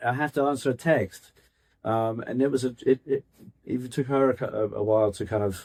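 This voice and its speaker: A man with a slight Scottish accent speaks at a medium pitch and a moderate pace, his intonation fairly even, the sound dry and close with no echo. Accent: British, Scottish-tinged. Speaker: real estate agent. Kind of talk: interview answer.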